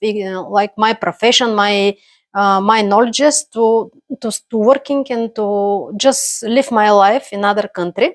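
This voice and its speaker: With a Bulgarian accent, a woman speaks fairly slowly at a fairly high pitch and with fairly even intonation, in a very clean, silent recording with a dry, close sound and no echo. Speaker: immigrant, accountant. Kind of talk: personal story monologue. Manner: halting, many fillers.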